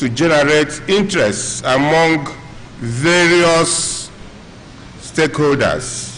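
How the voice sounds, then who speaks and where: A man speaks at a very slow pace with ordinary pitch variation, and the room echo is audible beneath noticeable background noise. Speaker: professional body representative. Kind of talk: reading aloud.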